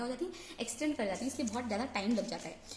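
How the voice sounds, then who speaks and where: There is audible room echo and noticeable background noise. The woman speaking shows ordinary pitch variation. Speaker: online chemistry teacher. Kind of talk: lecture. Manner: Hindi-English code-switching.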